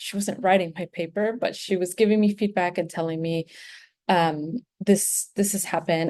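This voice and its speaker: A woman with a Spanish accent, fairly even intonation and a quiet background. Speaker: graduate student. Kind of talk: presentation. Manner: halting, many fillers.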